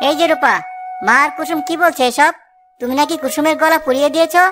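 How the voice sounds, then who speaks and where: A cartoonish character voice talks at a fairly quick pace over music in the background. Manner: earnest, easily flustered.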